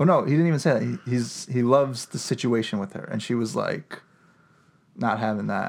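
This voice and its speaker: An ordinary speaking voice from a man, medium in pitch, fairly quick in pace, with ordinary pitch variation. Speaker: podcast co-host. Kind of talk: casual chat, podcast banter. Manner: joking, sarcastic.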